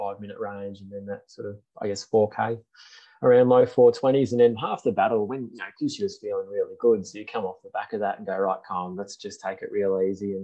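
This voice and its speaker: A man talks fairly quickly with an Australian accent. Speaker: running podcast host. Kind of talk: casual chat.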